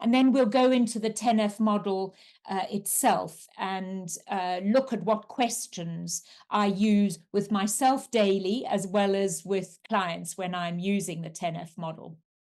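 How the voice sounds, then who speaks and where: A woman with a South African accent at a medium pitch and a fairly slow pace. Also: ordinary pitch variation, quiet background. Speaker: coach and resilience trainer. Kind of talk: webinar presentation.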